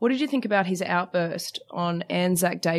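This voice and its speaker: With an Australian accent, a woman speaks at a fairly low pitch with ordinary pitch variation. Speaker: sports TV presenter. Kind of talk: casual chat. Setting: studio.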